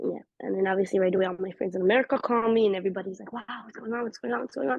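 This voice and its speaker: Speaking at a very fast pace, a woman with medium pitch, vocal fry and lively intonation swings widely in loudness. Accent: Israeli. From Israel. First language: Hebrew. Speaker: interviewee sharing personal experience. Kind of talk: personal testimony in conversational interview.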